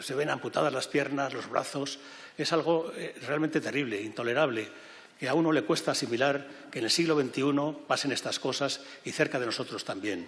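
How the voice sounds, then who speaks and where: A man at a moderate pace, with audible room echo. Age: 70s. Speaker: president of refugee aid organization, former university rector. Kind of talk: public speech. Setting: parliament event hall with audience. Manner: halting, with self-corrections.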